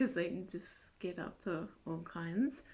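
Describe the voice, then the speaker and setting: Very slowly, a woman speaks at a fairly low pitch with vocal fry. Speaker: vlogger. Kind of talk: casual chat.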